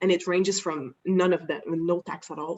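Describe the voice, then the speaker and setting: This woman has a French Canadian accent, a fairly low pitch and ordinary pitch variation. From Quebec, Canada. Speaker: insurance broker. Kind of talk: webinar presentation. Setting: online webinar.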